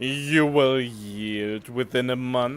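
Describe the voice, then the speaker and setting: This is a put-on character voice. Its pitch varies in an ordinary way. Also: man. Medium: game stream. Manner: cold, measured.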